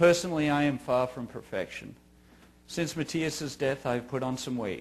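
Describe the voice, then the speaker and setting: This man has an Australian accent. His pitch is fairly high. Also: ordinary pitch variation, moderate pace. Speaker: grieving father giving a talk. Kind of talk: scripted narration. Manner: formal.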